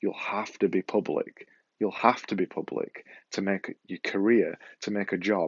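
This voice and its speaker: In a Yorkshire accent, a man speaks at a moderate pace. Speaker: podcaster and vlogger. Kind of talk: motivational talk to camera. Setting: filming to camera with ear mic.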